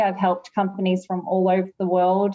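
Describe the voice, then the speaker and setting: This woman speaks with an Australian accent. Her pitch sits in the medium range. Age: 40s. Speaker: lawyer and author. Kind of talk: interview.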